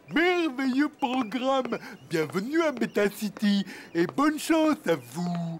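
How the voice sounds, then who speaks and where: Putting on a cartoonish character voice, a man speaks at a fairly slow pace with an extremely high pitch. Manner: slow, hesitant, stammering.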